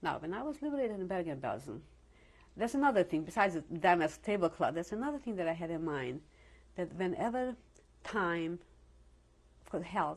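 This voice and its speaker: Speaking at a fairly quick pace yet with long, frequent pauses, a woman's fairly low voice swings widely in both pitch and loudness. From Slovakia. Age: 70s. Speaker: Holocaust survivor. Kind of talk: oral history interview. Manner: halting.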